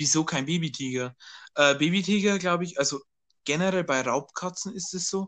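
Against a quiet background, a man with an unremarkable speaking voice talks at a moderate pace with ordinary pitch variation. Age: young. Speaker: podcast co-host. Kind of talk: casual chat. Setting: remote recording.

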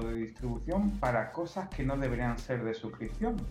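Through an audible room echo and noticeable background noise, a man talks at a moderate pace. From Spain. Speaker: software engineer. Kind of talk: interview.

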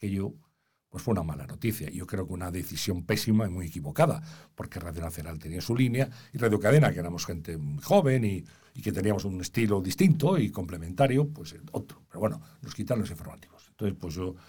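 A man's very deep, low, somewhat breathy voice with a dark, mellow tone, a very fast pace, lively intonation, and big swings in loudness. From Spain, Valladolid. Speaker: journalist and consultant. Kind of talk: interview.

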